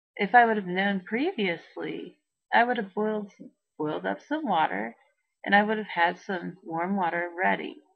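A woman at a fairly slow pace against a quiet background. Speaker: vlogger. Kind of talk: casual vlog chat. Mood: distressed but laughing at times. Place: home room. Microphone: webcam.

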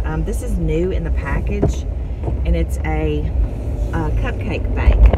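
The pace is fairly slow. Loud background noise runs underneath. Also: woman. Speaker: garage sale reseller vlogger. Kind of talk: casual vlog chat. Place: car. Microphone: phone near.

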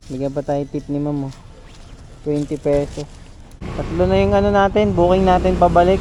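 Noticeable background noise runs behind this man. He speaks fairly slowly with a fairly high pitch. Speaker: delivery rider vlogger. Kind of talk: casual vlog narration. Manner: animated.

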